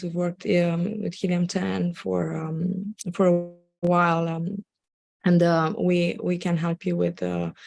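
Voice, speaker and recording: A woman speaks with a Romanian accent and a fairly low pitch. Her pitch varies in an ordinary way. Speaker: Amazon seller and agency owner. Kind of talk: live webinar presentation. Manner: halting, many fillers.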